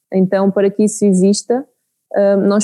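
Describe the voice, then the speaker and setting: A woman's dark, mellow voice at a fairly slow pace, dry and close with no echo. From Portugal, Santarém region. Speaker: beekeeping project manager. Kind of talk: interview. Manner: hesitant, with fillers.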